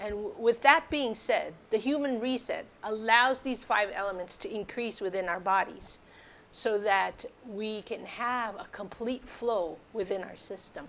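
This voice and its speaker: A woman's unremarkable speaking voice, fairly high in pitch, with ordinary pitch variation, big swings in loudness and a fairly slow pace. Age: 60s. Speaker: wellness product promoter. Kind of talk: product testimonial.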